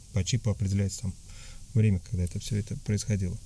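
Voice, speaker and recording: Somewhat breathy, a man talks at a fairly low pitch in a dark, mellow tone. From Tatarstan, Russia. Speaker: emigrant interviewee. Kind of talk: interview. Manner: halting, many fillers.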